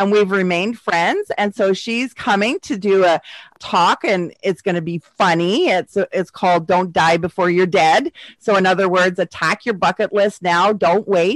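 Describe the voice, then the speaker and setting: In a normal speaking voice at medium pitch, a woman talks at a moderate pace with fairly even intonation, the sound dry and close with no echo. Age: 50s. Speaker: podcast host and motivational speaker. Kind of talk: casual chat.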